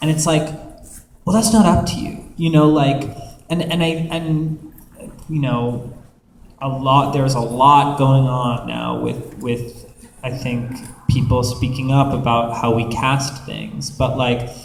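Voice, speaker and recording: Speaking at a fairly slow pace with long, frequent pauses, a man shows ordinary pitch variation, while noticeable background noise and audible room echo fill the recording. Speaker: voice actor panelist. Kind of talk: panel discussion. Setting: convention panel with audience.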